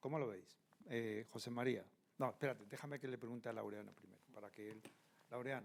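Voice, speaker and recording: A man with an ordinary speaking voice talks at a fairly quick pace in a medium pitch, his intonation fairly even but his loudness swinging widely. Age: 60s. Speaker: panel moderator. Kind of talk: panel discussion.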